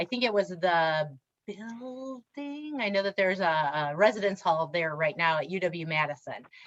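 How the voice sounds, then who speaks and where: In an American accent, the speaker moves at a moderate pace with lively intonation. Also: woman, medium pitch for a woman. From Wisconsin, Reedsburg. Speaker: diversity trainer and speaker. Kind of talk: workshop presentation. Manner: animated.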